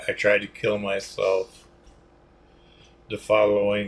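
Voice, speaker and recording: Very slow speech comes from a man, with long, frequent pauses. His loudness swings widely. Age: 60s. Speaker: military veteran. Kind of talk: personal testimony monologue. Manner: halting, many fillers.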